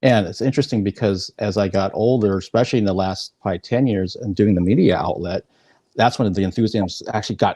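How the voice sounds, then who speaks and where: A dark, mellow tone at a very fast pace, with ordinary pitch variation and a dry, close sound with no echo over a quiet background. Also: man, fairly low pitch for a man. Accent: American. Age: 50s. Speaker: interviewer. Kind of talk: interview.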